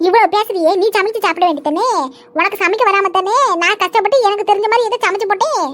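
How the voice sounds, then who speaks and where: A woman's squeaky, cartoonish character voice, extremely high-pitched with ordinary pitch variation, very even loudness and a fairly quick pace. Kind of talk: cartoon family comedy. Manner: scolding, irritable.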